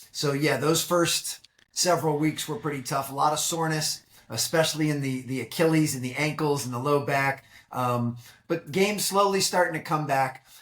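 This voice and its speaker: A man with an American accent and a normal speaking voice, moderate pace and ordinary pitch variation. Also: fairly high pitch for a man. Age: 40s. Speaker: high-performance coach and keynote speaker. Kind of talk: podcast interview. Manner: conversational with frequent fillers and repetitions.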